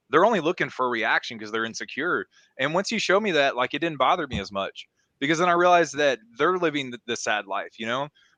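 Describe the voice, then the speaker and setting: A man with an American accent speaks very fast in a fairly high, bright, sharp voice with very wide pitch swings. The sound is dry and close with no echo, over a quiet background. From US South. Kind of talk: casual chat.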